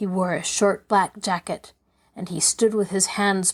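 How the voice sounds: This is a natural reading voice over a quiet background.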